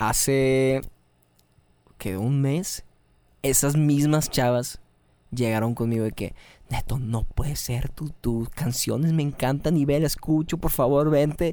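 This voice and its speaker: In a Mexican accent, the speaker uses a dark, mellow tone and ordinary pitch variation at a very slow pace, with long, frequent pauses. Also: man, fairly high pitch for a man. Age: 20s. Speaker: rock musician and content creator. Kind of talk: casual chat.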